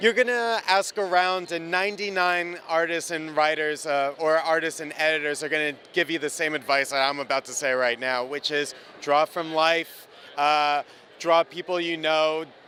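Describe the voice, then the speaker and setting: At a moderate pace, a man with an American accent speaks in a fairly high voice with ordinary pitch variation. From New Jersey. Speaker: comic book artist. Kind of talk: interview. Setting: comic convention.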